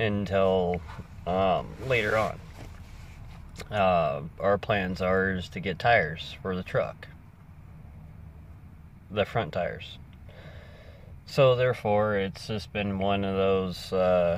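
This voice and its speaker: A man speaks very slowly at a fairly low pitch with fairly even intonation and long, frequent pauses. The sound is dry with no echo, with light background noise. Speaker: vlogger. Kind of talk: casual vlog chat. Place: car.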